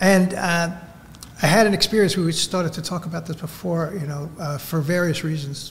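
With noticeable background noise behind him, a man speaks in a high-pitched voice. His pace is moderate and his intonation fairly even. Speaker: recovering alcoholic, sober over 20 years. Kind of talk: personal recovery testimony.

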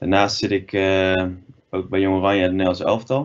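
A man speaks in a very deep, low voice. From Netherlands, Breda area (North Brabant); Netherlands. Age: 20s. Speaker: field hockey player giving guest lesson; guest teacher. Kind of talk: online guest lesson for school children; online lesson talk to children. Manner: halting, many filler sounds. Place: home room. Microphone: webcam.

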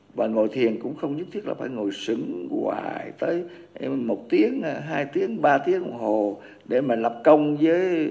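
A man talks at a very slow pace, with noticeable background noise behind him. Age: 80s+. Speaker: Buddhist monk teacher. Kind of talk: dharma talk. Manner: halting.

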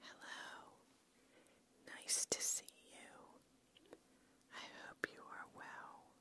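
Someone whispers in a soothing tone at a very slow pace. Long pauses come often. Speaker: ASMR creator. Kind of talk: ASMR relaxation guidance. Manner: slow, soothing. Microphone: studio mic.

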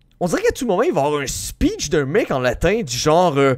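Against a quiet background, a man talks in an animated tone. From Quebec. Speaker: gaming youtuber. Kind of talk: let's play commentary. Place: home room. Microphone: headset.

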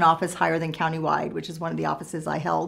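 A woman with an American accent talks at a very fast pace, her pitch fairly low. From Southern California. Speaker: state legislator, former journalist. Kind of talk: interview answers.

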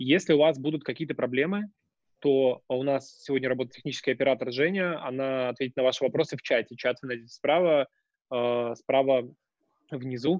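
Against a quiet background, a man with a Russian accent talks very fast at a medium pitch with ordinary pitch variation, the sound dry with no echo. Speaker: webinar host and moderator; webinar host, moderator. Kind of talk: webinar moderation. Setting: video call. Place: home room. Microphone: video call.

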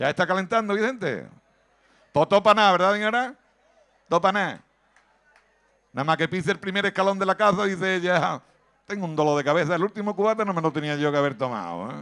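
A man's high-pitched, very fast, animated speech, bright and sharp in tone, with ordinary pitch variation and long, frequent pauses. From Andalusia, Cádiz province (Villamartín). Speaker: stand-up comedian. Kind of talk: stand-up.

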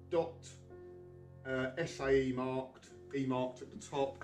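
Clear music plays in the background. Over it, a man speaks with fairly even intonation. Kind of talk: tutorial. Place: garage. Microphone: camera far.

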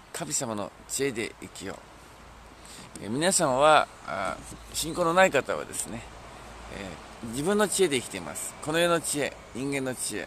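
With very wide pitch swings and big swings in loudness, a fairly high-pitched man speaks at a moderate pace, leaving long, frequent pauses. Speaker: pastor. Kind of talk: sermon. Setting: outdoors.

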